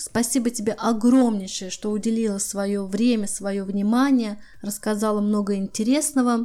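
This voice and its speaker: A woman's fairly high-pitched voice, dark and mellow in tone, with fairly even intonation. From Russia. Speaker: podcast host. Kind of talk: interview.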